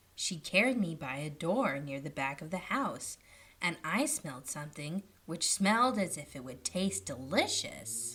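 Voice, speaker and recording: A female-sounding voice performs a put-on character voice at a moderate pace. The pitch is very deep and low. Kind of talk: bedtime story. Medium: read story.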